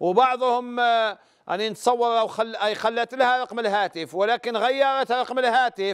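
A man with an extremely high pitch speaks at a fairly slow pace with fairly even intonation and hardly any pauses, over a quiet background. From Algeria. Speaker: religious scholar answering questions. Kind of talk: religious advice call-in show. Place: studio. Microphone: lapel.

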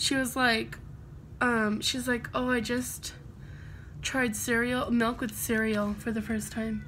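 Recorded with audible room echo, a woman with an American accent speaks at a fairly slow pace. Her bright, sharp voice sits at a fairly high pitch with fairly even intonation. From United States. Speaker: beauty vlogger. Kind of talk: casual chat.

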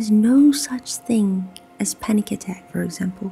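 With music in the background, a soft-spoken woman is whispering. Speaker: ASMR creator. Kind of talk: informational talk to listener. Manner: soft-spoken, whispered.

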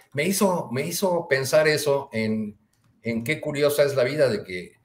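This man talks at a fairly slow pace with a somewhat breathy voice. His intonation is lively. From Mexico. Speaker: journalist. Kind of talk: panel discussion. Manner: halting. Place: home room.

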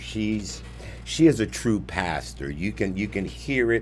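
A man speaks at a fairly slow pace. There is light background noise. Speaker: preacher hosting a live stream. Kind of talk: sermon-style live stream talk. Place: studio. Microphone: studio mic.

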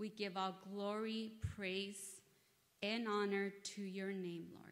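In a monotone, flat intonation, a woman speaks at a very slow pace. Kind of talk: sermon. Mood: nervous, earnest. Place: church. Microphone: podium.

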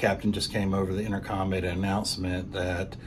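Noticeable background noise sits under a man who talks at a moderate pace with a very deep, low pitch. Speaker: cruise vlogger. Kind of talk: casual vlog update. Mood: calm, informative. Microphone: phone near.

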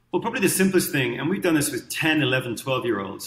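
A man is speaking. There is audible room echo. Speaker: guest. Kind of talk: interview answer. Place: home room. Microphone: webcam.

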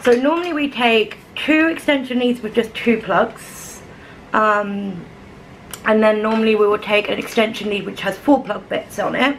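Woman at a moderate pace with ordinary pitch variation, over light background noise. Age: 30s. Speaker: vlogger. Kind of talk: casual vlog chat. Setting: at home, camera on a stand. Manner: animated, laughing often. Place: kitchen. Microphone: phone near.

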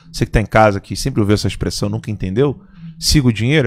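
Intonation is lively. A man speaks over a quiet background. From Brazil. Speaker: commentator. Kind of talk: casual chat. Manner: animated. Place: studio. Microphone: studio mic.

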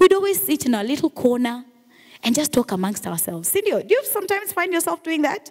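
Against a quiet background, a speaker with a Kenyan accent talks very fast in an animated tone, with very wide pitch swings. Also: woman. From Kenya, Mombasa. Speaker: radio and TV presenter; radio, TV presenter. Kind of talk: motivational talk. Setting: stage with audience. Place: hall. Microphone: handheld.

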